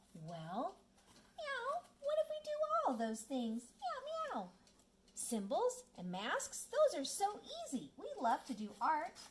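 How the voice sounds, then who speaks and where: Extremely high in pitch, the cartoonish character voice crawls along at a very slow pace. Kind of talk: children's puppet show.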